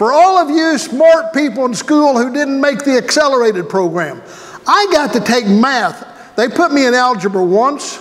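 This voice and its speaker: The speaker talks at a moderate pace with lively intonation. Noticeable background noise and audible room echo fill the recording. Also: man. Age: 60s. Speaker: pastor. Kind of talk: sermon. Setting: church. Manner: conversational, folksy.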